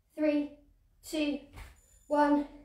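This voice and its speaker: Audible room echo surrounds a woman's high-pitched voice. She speaks at a fairly slow pace. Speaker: fitness instructor. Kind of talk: exercise class instruction. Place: home room. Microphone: camera far.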